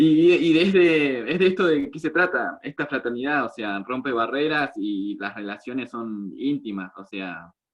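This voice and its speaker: A man with an Argentine accent talks at a fairly slow pace with hardly any pauses. His fairly high pitch has very wide swings, and his loudness shifts a lot. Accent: Argentine Spanish (voseo). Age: 20s. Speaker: meeting host. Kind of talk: casual chat.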